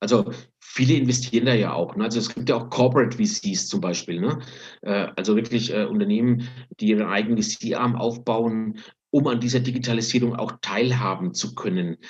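Using a plain, everyday voice, a man speaks at a moderate pace with medium pitch and ordinary pitch variation. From Franconia, Germany. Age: 50s. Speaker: finance executive and fund founder. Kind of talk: casual interview.

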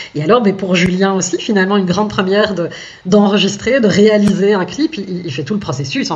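There is noticeable background noise and audible room echo. Through them, a woman talks. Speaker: singer. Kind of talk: radio interview. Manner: halting.

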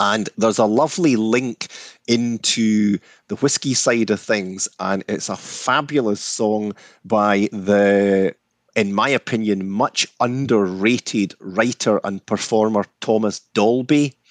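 In a Scottish accent, a man speaks very slowly with fairly low pitch and fairly even intonation, the sound dry and close with no echo over a quiet background. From Scotland. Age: 60s. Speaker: whisky distiller. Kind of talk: casual interview chat.

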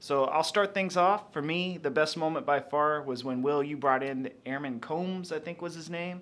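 This man has a plain, everyday voice, fairly high in pitch, with ordinary pitch variation. He keeps a moderate pace with hardly any pauses against a quiet background. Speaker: co-host, interviewer. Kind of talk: podcast interview.

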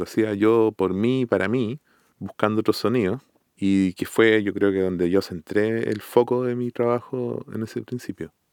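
A man with a Chilean accent, fairly low-pitched, at a fairly slow pace with fairly even intonation, in a dry, close sound with no echo. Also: very clean recording, silent background. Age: 40s. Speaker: music composer and producer. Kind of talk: casual interview conversation.

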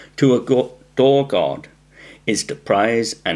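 This voice has an Australian accent, speaks at a very slow pace, and uses lively intonation. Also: man. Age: 40s. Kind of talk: formal debate.

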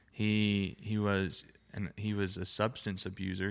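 On a very clean recording with a silent background, a man with an Alabama accent speaks at a moderate pace in a fairly low, flat monotone. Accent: US Southern (Alabama). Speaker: podcast co-host. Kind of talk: casual chat.

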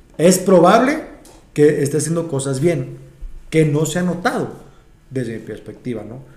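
The man's voice is fairly high and somewhat breathy, with ordinary pitch variation. Audible room echo surrounds it. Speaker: stand-up comedian. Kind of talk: casual chat. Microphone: far from the mic.

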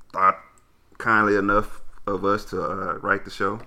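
Speaking at a moderate pace, a man with an American accent has a fairly low pitch and a bright, sharp tone. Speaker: podcast co-host. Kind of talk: casual chat. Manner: clear enunciation.

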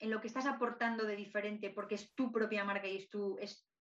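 With an ordinary speaking voice, a woman talks at a moderate pace in a fairly high pitch with fairly even intonation. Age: 30s. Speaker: podcast host, holistic artist. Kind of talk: casual interview chat.

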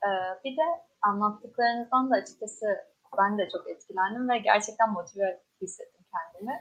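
This woman has an unremarkable speaking voice with ordinary pitch variation. She talks at a moderate pace. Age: young. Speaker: student event moderator. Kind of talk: interview.

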